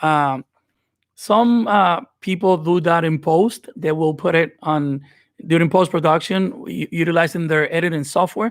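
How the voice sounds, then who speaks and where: In a Dominican accent, a man speaks in a high pitch with ordinary pitch variation, recorded very cleanly against a silent background. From Dominican Republic. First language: Spanish. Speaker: video editing creator. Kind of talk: live stream giveaway tutorial. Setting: live stream. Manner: unscripted, hesitant with fillers.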